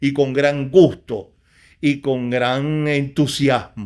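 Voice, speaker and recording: A man speaks at a fairly high pitch. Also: very clean recording, silent background. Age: 60s. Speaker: poet. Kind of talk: interview. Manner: halting.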